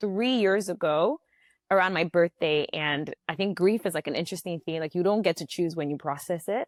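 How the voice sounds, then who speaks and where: With ordinary pitch variation, a woman's speech moves along fairly quickly. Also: fairly low pitch for a woman. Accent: American. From Nigeria (Abeokuta) then the Bronx, New York from age six. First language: Yoruba. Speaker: founder of a Yoruba language community. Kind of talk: podcast interview. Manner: casual, filler-heavy.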